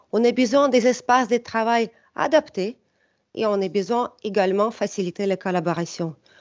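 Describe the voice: With a non-native accent and a slightly mellow tone, a woman speaks at a moderate pace with ordinary pitch variation. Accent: foreign, non-French.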